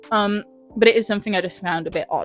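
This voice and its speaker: A woman with an English accent speaks in a fairly high pitch and fairly even intonation while music plays in the background. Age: young. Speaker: vlogger. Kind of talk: casual film review talk to camera. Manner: chatty, hesitant with many fillers.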